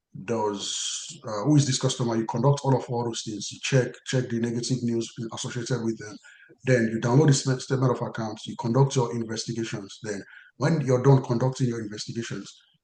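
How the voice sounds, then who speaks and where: A man's dark, mellow, somewhat breathy voice carries fairly even intonation amid audible room echo. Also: medium pitch for a man, fairly quick pace, big swings in loudness. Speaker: compliance career trainer. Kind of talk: webinar lecture. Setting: online webinar. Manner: halting, many fillers and restarts.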